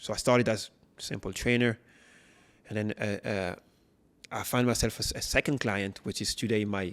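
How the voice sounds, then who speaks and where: A man with a French accent speaks at a fairly quick pace and fairly low pitch, his intonation fairly even, on a very clean recording with a silent background. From France. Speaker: personal trainer, former footballer. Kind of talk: interview. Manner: halting.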